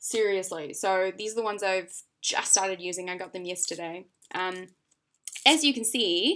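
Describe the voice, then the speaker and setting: With a New Zealand accent, a woman speaks at a moderate pace in a bright, sharp tone, medium in pitch with ordinary variation and big swings in loudness. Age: 20s. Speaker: vlogger sharing personal health experience. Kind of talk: casual vlog talk. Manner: informal, hesitant with many fillers.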